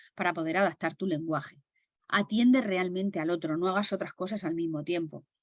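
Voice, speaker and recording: Moving at a fairly quick pace, a woman speaks in a fairly low pitch with ordinary pitch variation. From Murcia, Spain. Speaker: stress management trainer. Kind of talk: webinar lecture. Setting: video call. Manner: carefully enunciated.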